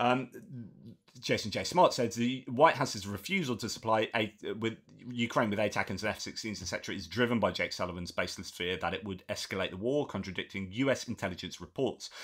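A man talks at a fairly quick pace. The background is quiet, and his pitch variation is ordinary. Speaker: geopolitics YouTuber. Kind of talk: solo news commentary. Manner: halting with filler sounds. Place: home room.

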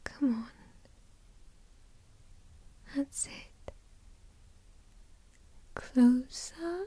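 Using a put-on character voice, a woman speaks very slowly at a high pitch, with a dark, mellow tone, ordinary pitch variation and a slightly husky edge.

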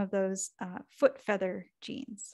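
Ordinary pitch variation from a woman, quiet background. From Canada. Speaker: cartoonist and author. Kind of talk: lecture. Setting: video call. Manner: soft-spoken. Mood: lively, humorous. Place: home room.

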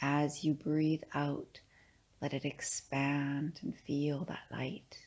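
Against a silent background in a very clean recording, a woman speaks in a very deep, low voice with a gentle, soothing tone and monotone, flat intonation. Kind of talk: guided meditation. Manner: slow, soothing, calm; gentle, unhurried with pauses.

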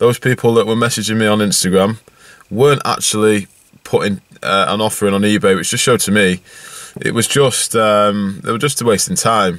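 A fairly low male voice at a moderate pace with ordinary pitch movement, dry and echo-free over a quiet background. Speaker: car vlogger. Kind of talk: casual vlog chat. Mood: relaxed, a bit amused. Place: car. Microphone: phone near.

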